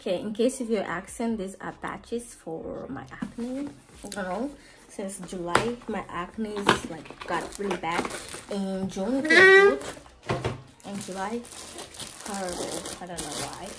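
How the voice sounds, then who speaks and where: The speech moves at a fairly slow pace with long, frequent pauses, and background noise is noticeable. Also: woman. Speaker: vlogger. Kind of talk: casual vlog chat. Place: home room. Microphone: phone near.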